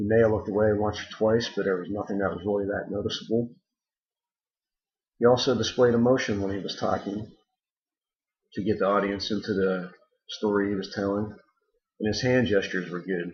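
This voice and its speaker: A somewhat breathy man's voice, fairly low and monotone, at a fairly quick pace broken by long, frequent pauses. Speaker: student. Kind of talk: spoken assignment critique. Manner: hesitant with ums.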